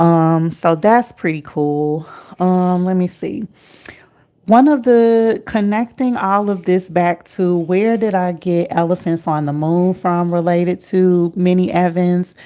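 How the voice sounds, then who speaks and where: Very slowly and at a mid-range pitch, a woman talks, her pitch moving up and down in a normal way. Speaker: artist and therapist. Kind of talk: casual vlog talk. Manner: many fillers, um and uh.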